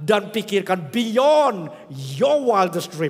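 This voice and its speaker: Noticeable background noise behind a fairly slow delivery. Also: man. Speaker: pastor. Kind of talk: sermon. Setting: church.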